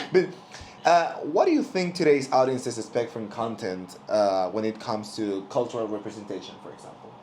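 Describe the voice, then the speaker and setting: A man with a Spanish accent talks at a fairly quick pace in a medium pitch, his intonation lively and his loudness swinging widely. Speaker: student podcast host. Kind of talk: casual interview. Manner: hesitant, many fillers.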